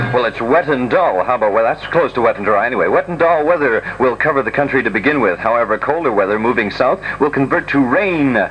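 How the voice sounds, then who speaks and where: A man at a very fast pace and medium pitch, with lively intonation and hardly any pauses, over noticeable background noise. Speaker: radio DJ. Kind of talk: 1960s pirate radio DJ patter.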